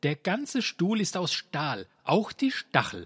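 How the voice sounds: Put-on character voice from a man, high-pitched with very wide pitch swings, slightly husky edge, slow pace, very clean recording, silent background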